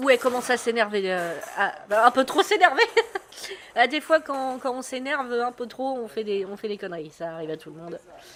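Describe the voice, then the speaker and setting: Big swings in loudness and very wide pitch swings at a fairly quick pace, over noticeable background noise. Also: woman, high pitch for a woman. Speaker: sports streamer commentator. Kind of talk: live commentary. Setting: live stream. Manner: casual, hesitant with many fillers.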